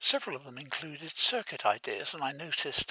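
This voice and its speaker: A man whispers at a moderate pace. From England. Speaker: author and retired design engineer. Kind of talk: book presentation voice-over.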